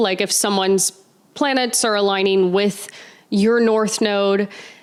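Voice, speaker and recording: A woman with an unremarkable speaking voice and medium pitch talks at a moderate pace with fairly even intonation. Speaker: astrology podcast host. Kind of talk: Q&A monologue. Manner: casual, filler-heavy.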